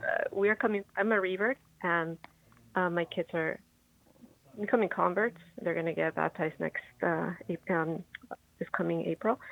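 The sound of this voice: Speaking at a moderate pace, a woman uses a fairly low pitch and fairly even intonation, with vocal fry in her voice.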